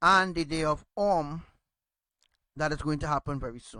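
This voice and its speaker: A man speaks loudly in a bright, sharp tone at a fairly high pitch, with fairly even intonation, on a very clean recording with a silent background. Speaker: religious teacher. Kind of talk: religious teaching.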